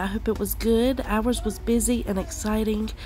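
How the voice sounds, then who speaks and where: A woman at a fairly slow pace, with light background noise and a dry sound with no echo. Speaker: cleaning vlogger. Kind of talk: casual vlog chat. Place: bathroom.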